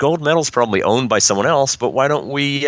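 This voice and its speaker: Fairly quick in pace, a man with a plain, everyday voice speaks at a medium pitch with ordinary pitch variation. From New York. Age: 40s. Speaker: crime fiction writer and publisher. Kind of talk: interview.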